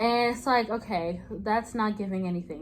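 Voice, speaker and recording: A woman talks in a plain, everyday voice at a fairly quick pace with ordinary pitch variation. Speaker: lifestyle vlogger. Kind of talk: casual vlog chat. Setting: at home, sitting late at night. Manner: casual, many fillers.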